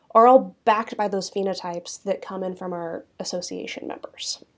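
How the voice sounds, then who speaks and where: A woman with an American accent speaks in a plain, everyday voice at a fairly quick pace with ordinary pitch variation. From Kansas (Southeast). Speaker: cattle breed association director. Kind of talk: interview.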